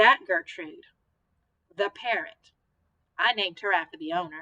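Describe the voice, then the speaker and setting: A put-on character voice mumbles at a moderate pace with lively intonation. The sound is dry and close, without echo. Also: woman, medium pitch for a woman. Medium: read story. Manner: hesitant, mumbling.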